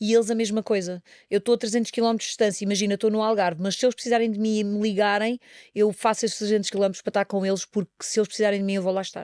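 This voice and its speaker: A woman with a medium-pitched voice races along at a very fast pace in a monotone, flat intonation, on a very clean recording with a silent background and a dry, close sound with no echo. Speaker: singer. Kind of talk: casual chat.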